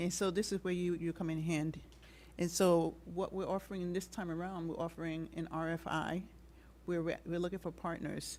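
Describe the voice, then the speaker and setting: A soft-spoken woman's fairly low, monotone, flat voice at a moderate pace, on a very clean recording with a silent background. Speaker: city commission presenter. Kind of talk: presentation at public meeting. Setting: public meeting hall.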